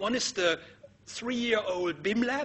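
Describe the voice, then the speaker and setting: A man with a German accent speaks with lively intonation. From Germany. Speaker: architecture professor. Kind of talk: lecture.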